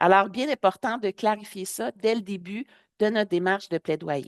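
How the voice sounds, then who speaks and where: A woman with a Quebec accent at a medium pitch, ordinary pitch variation and a moderate pace, the sound dry and close with no echo over a quiet background. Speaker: public health advocate and trainer. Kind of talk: webinar presentation.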